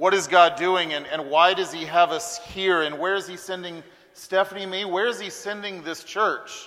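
Over noticeable background noise, the speech goes at a fairly slow pace with fairly even intonation. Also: man. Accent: American. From US South, Huntsville, Alabama. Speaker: visiting pastor. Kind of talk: sermon. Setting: church.

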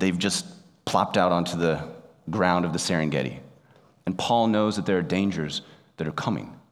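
A man with a very deep, low pitch and vocal fry speaks at a moderate pace with ordinary pitch variation, long, frequent pauses and audible room echo. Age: 30s. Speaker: pastor. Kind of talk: sermon.

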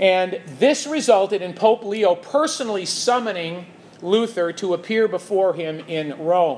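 A man with a high pitch and an American accent speaks with lively intonation over noticeable background noise. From US Midwest, Chicago. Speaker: church teacher. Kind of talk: lecture.

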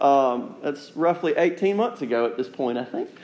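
In an unremarkable speaking voice, a man talks at a moderate pace with a fairly high pitch and lively intonation. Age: 30s. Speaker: pastor. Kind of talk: sermon.

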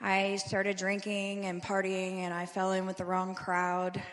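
The intonation is monotone and flat. Room echo is audible. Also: woman. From Louisville, Kentucky. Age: 40s. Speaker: recovery program resident. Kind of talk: testimony. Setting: church service.

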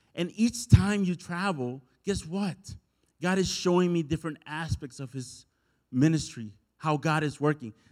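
With a Spanish accent and lively intonation, the voice moves at a moderate pace in a very clean recording with a silent background. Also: man, fairly high pitch for a man. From El Salvador. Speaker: pastor. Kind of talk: sermon. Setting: church.

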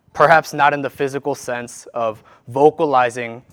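A man with a Korean accent speaks at a fairly slow pace. His intonation stays fairly even. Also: very clean recording, silent background. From South Korea, moved to US in childhood. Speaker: worship leader preaching. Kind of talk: sermon. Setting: church.

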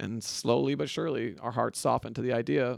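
Moderate in pace, a man speaks at a medium pitch. He has an unremarkable speaking voice. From West Michigan, US Midwest. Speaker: church elder candidate. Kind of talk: casual interview.

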